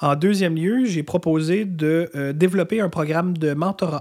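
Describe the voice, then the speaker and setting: The man talks at a fairly slow pace. His pitch varies in an ordinary way. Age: 30s. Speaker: lawyer, bar association president. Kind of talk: interview. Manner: halting, many fillers.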